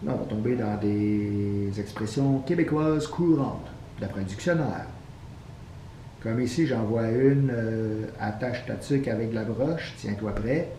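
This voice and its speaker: A man speaks at a fairly slow pace with a Quebec accent. His pitch is medium, with ordinary pitch variation. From Quebec, Canada. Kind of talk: casual talk to camera.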